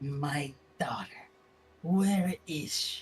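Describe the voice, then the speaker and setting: The speaker uses a put-on character voice at a middle pitch. It comes out quiet. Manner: bitter, pained, then quiet.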